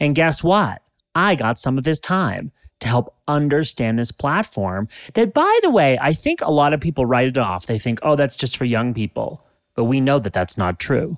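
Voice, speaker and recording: A man with an ordinary speaking voice talks at a moderate pace, with a fairly high pitch and lively intonation. The sound is dry and close with no echo, a very clean recording with a silent background. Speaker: podcast host. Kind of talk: casual interview chat.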